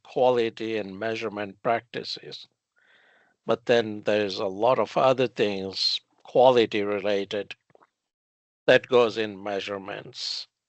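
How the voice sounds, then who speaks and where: Speaking with a non-native accent, a man keeps a medium pitch and fairly even intonation. His pace is fairly slow. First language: not English. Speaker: metrology and quality consultant. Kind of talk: casual podcast conversation. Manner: hesitant, many fillers.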